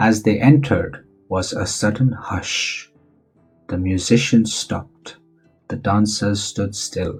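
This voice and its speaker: Music plays in the background as a man talks. He speaks at a very slow pace with a fairly low pitch. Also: ordinary pitch variation. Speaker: voice-over narrator. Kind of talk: children's bedtime story narration.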